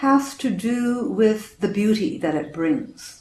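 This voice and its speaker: Noticeable background noise and audible room echo surround the recording. A woman with a Canadian accent speaks at a very slow pace. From western Canada, Vancouver, British Columbia. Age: 60s. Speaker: storyteller. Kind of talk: personal life story.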